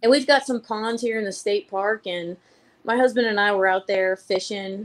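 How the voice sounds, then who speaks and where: A woman speaks with a Georgia accent. Her pitch is fairly high. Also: moderate pace. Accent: Southern (Georgia). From Missouri. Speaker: fly fishing group organizer. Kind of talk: casual chat. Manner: animated.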